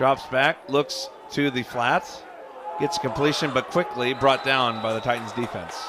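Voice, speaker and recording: A man with an American accent speaks at a medium pitch and fairly slow pace. There is noticeable background noise. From United States. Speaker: sports commentator. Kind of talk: live commentary. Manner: animated.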